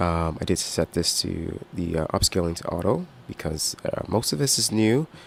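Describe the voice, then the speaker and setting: Here a man speaks with a very deep, low pitch. His pace is moderate and his intonation lively. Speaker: gaming streamer. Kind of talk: live gameplay stream commentary. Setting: live stream. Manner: hesitant, many fillers.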